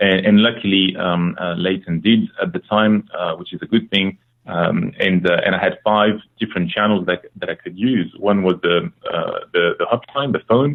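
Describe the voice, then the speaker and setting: This man has a French accent. He talks at a moderate pace. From France. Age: 30s. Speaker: former procurement practitioner. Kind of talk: podcast interview. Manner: halting, many fillers.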